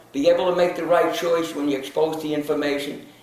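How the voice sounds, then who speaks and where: A man with a high-pitched voice speaks amid audible room echo. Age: 80s+. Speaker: nutrition counselor and wellness speaker. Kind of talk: interview monologue. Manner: halting, with many fillers.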